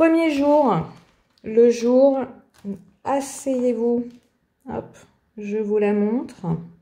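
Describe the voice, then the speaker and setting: Speaking with a strong French accent, a woman talks at a very slow pace with long, frequent pauses. Her high-pitched voice has a dark, mellow tone and ordinary pitch variation. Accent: strong French accent on English words. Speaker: art journaling youtuber. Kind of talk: tutorial, supplies presentation. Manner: hesitant, many filler sounds; casual, chatty.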